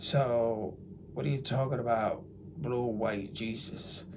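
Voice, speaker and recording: Here a man speaks in an American accent at a medium pitch. There is audible room echo. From New Jersey, US. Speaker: religious YouTuber. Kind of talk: casual monologue. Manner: animated; halting.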